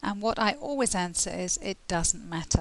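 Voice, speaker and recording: A woman speaks with a British accent and a lively intonation. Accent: British English (RP-like). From England. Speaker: English tutor. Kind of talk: tutorial. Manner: clear, measured.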